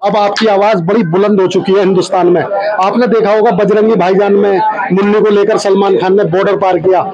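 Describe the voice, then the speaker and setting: With hardly any pauses, a man speaks in a monotone, flat voice over noticeable background noise. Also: moderate pace. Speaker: news reporter. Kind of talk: news interview questions. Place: home room. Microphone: handheld.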